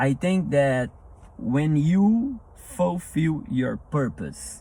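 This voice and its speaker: Speaking at a very slow pace, a man has a non-native accent. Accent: non-native English, self-described rusty. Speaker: motivational speaker. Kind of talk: motivational talk. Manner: halting, with repetitions.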